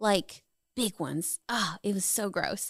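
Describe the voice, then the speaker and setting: A woman with a slight Southern US accent, at a fairly slow pace, in a dry, close sound with no echo and a very clean recording with a silent background. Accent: slight, hardly any Southern. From US South, Charlotte, North Carolina. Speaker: photographer and realtor, Air Force veteran. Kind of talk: casual interview. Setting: studio.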